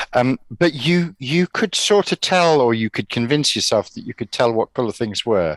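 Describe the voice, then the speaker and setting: Against a quiet background, a man with an English accent speaks at a moderate pace with hardly any pauses, his medium pitch swinging very widely in a dry, close sound with no echo. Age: 60s. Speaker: retired teacher. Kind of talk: casual chat.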